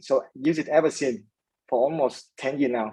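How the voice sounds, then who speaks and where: Dark, mellow tone in a man's voice, pitched fairly high. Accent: Vietnamese. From Vietnam. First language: Vietnamese. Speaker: startup founder. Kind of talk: interview. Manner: hesitant, many fillers.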